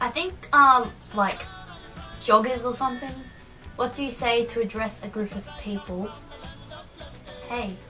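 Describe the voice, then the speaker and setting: A woman with an Australian accent, fairly high pitch and ordinary pitch variation, at a fairly slow pace with long, frequent pauses over clear background music. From Australia (New South Wales). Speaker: vlogger. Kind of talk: casual talk to camera. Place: home room. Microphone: webcam.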